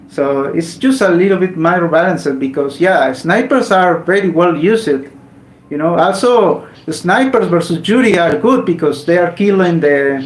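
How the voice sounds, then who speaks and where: A man speaks with a high pitch and ordinary pitch variation. Audible room echo and noticeable background noise fill the recording. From Mexico. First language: Spanish. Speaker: gaming streamer. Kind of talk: casual live stream chat. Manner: halting, with repetitions.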